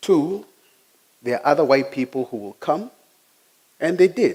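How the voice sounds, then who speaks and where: A man with a Kenyan accent and lively intonation. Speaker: IT technician giving a talk. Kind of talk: personal talk.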